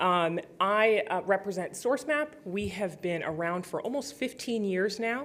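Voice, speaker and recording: On a very clean recording with a silent background, a woman speaks at a moderate pace with lively intonation. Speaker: policy director at a software company. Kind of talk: conference presentation. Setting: stage with audience.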